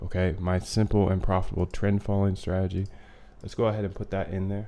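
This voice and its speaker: This man has a fairly low pitch and a dark, mellow tone, and he speaks at a very fast pace. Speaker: algorithmic trading streamer. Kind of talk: live stream tutorial. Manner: animated.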